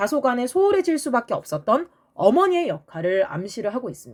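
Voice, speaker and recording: A woman's animated voice sweeps through very wide pitch swings on a very clean recording with a silent background. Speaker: graduate student. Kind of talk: casual lecture. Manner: fast.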